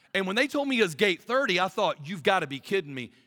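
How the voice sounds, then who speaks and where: A man's raised, projected voice with a Southern US accent, high in pitch, at a very fast pace, with a bright, sharp, animated tone, very wide pitch swings and a dry, close sound with no echo. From US South. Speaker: pastor. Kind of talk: sermon. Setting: stage with audience.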